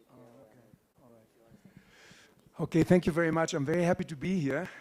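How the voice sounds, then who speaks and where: On a very clean recording with a silent background, a man with a German accent speaks at a high pitch and moderate pace, his loudness swinging widely. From Germany. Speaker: conference speaker. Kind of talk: conference talk. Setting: stage with audience. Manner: animated.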